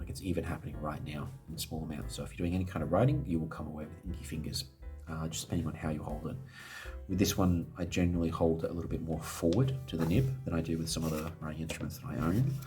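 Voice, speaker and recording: A man's very deep, low voice at a very fast pace with lively intonation, music in the background. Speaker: fountain pen reviewer. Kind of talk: casual product review to camera.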